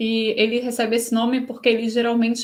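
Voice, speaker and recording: A woman's pitch sits fairly high. She talks at a fairly quick pace. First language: Portuguese. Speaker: host and interpreter. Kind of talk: live interpretation in webinar.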